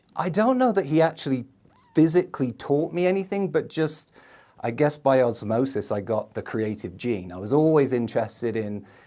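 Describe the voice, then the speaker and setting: A man in an English accent, dark and mellow in tone, at a moderate pace with very wide pitch swings. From England, London. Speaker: marketing video producer, entrepreneur. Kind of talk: podcast interview.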